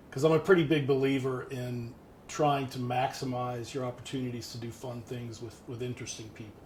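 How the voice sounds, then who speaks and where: A man talks at a fairly quick clip, his loudness swinging widely while his intonation stays fairly even. The room echo is audible, and background noise is noticeable. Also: medium pitch for a man. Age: 60s. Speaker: retired finance professional and amateur pilot. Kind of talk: casual interview. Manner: halting.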